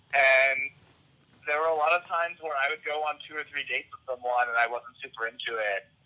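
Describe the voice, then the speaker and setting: Noticeable background noise beneath a man's fairly quick speech and ordinary pitch variation. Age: 30s. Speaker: attorney. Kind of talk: casual chat.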